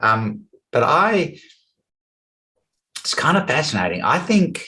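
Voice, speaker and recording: A man speaks very slowly in an Australian accent. His pitch swings very widely. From Western Australia, rural. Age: 60s. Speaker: business coach. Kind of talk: interview.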